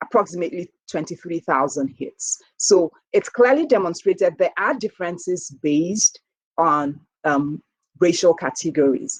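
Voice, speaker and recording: With a Nigerian accent and lively intonation, a woman speaks at a medium pitch and moderate pace, recorded dry and close with no echo. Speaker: professor and health researcher. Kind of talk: keynote lecture. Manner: conversational, with frequent fillers.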